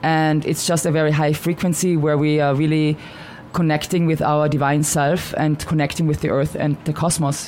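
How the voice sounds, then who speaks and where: With an Austrian accent, a woman with a very deep, low pitch speaks in a monotone, flat intonation at very even loudness, with noticeable background noise. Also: moderate pace. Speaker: shaman and author. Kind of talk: radio interview.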